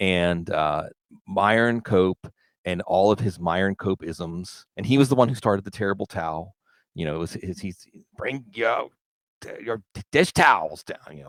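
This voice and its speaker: A man with an American accent speaks in an animated tone at a moderate pace, his fairly low pitch showing ordinary variation, with big swings in loudness and long, frequent pauses. The recording is very clean with a silent background, and the sound is dry and close with no echo. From Pittsburgh, US. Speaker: football analyst and podcaster. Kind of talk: casual podcast conversation.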